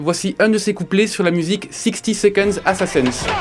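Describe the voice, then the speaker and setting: A man's high-pitched voice at a moderate pace, ordinary pitch variation, music in the background. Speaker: radio columnist. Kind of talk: radio chronicle.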